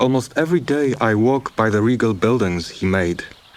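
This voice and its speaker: Noticeable background noise behind a man at medium pitch, fairly slow pace and lively intonation. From Kenya. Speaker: documentary narrator. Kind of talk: narrated letter. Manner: reflective.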